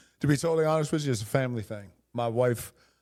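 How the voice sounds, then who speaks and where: A man with an American accent speaks very fast in a dark, mellow tone with fairly even intonation, on a very clean recording with a silent background. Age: 60s. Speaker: high school football coach. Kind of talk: casual interview. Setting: coaching clinic.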